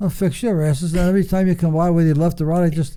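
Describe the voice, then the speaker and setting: A man speaks very fast in an American accent, his pitch high. His tone is dark and mellow. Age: 80s+. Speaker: retired racing driver. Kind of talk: casual chat. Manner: blunt.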